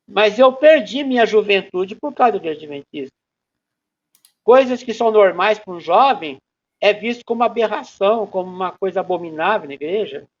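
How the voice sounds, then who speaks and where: With lively intonation and big swings in loudness, a man speaks at a moderate pace in a high pitch. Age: 60s. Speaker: ex-member giving testimony. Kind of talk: testimony interview.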